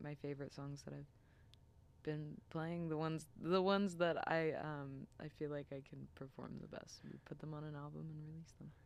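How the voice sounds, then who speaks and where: Soft-spoken, a woman with an American accent talks at a moderate pace in a very deep, low pitch with monotone, flat intonation and big swings in loudness. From US Midwest, Cincinnati, Ohio. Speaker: singer-songwriter. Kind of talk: casual interview chat. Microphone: too far from the mic, too quiet.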